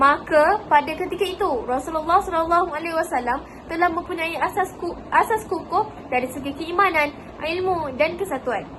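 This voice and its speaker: Over noticeable background noise, a woman with an extremely high pitch talks at a moderate pace with ordinary pitch variation. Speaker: student teacher. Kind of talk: class presentation. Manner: formal.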